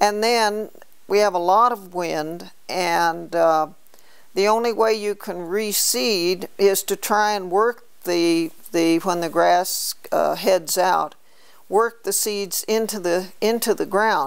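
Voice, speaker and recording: Recorded very cleanly against a silent background, a woman with an American accent speaks at a medium pitch and a very slow pace, her intonation fairly even. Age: 70s. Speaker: rancher. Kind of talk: interview. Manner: halting.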